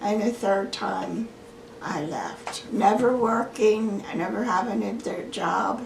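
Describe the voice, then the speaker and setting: Over noticeable background noise, a woman talks very slowly at a fairly high pitch. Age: 80s+. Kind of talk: interview answer.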